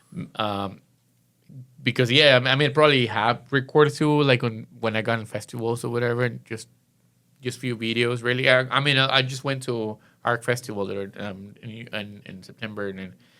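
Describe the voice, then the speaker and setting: A man with a strong non-native accent and a bright, sharp tone, medium pitch, fairly quick pace and fairly even intonation. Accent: thick foreign. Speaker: event promoter. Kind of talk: casual podcast interview. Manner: halting, many fillers.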